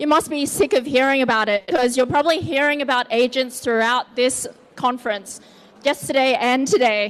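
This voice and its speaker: With an Australian accent and a high voice, a woman talks at a fairly quick pace with ordinary pitch variation over noticeable background noise. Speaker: tech founder, conference speaker. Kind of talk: conference talk. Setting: stage with audience.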